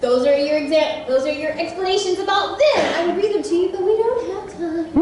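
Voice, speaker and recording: A woman with an American accent talks at a moderate pace with hardly any pauses, her pitch extremely high with very wide swings. Noticeable background noise runs underneath. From Texas, small town. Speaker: voice actor. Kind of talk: convention panel talk. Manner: animated.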